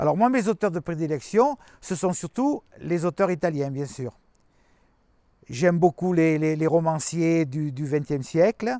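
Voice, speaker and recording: A man speaks at a fairly slow pace, fairly high in pitch with a dark, mellow tone and ordinary pitch variation. The recording is very clean with a silent background and a dry, close sound with no echo. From France, Ardèche. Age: 70s. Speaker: writer, former mayor. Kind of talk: interview. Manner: halting, many hesitations.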